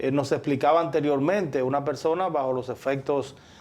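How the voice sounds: This man has a slightly mellow tone and fairly even intonation.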